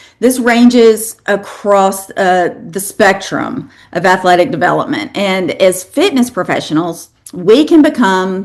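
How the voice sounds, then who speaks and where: With a slight Southern US accent, a woman speaks fairly slowly at a medium pitch with lively intonation. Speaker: fitness educator, lecturer. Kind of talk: lecture.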